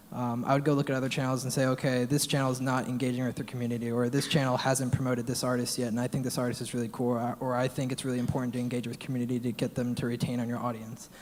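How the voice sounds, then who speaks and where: Noticeable background noise runs beneath speech delivered at a very fast pace. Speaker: music channel creator. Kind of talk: panel discussion. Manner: casual, filler-heavy.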